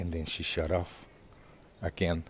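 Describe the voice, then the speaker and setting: Speaking at a very slow pace, a man delivers his words in a very deep, low voice that is somewhat breathy. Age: 50s. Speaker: podcast host. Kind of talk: casual monologue. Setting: home. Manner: halting.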